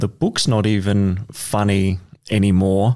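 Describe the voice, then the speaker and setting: In a very clean recording with a silent background, a man talks with an Australian accent. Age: 30s. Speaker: guest musician. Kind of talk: casual chat.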